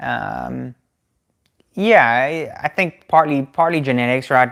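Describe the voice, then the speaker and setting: A man's medium-pitched voice is captured in a very clean recording against a silent background. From South Africa. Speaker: keto cooking YouTuber. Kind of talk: live stream Q&A. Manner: casual, with fillers.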